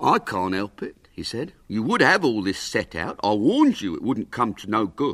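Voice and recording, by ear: A passage is being read aloud. The voice doing the reading is natural.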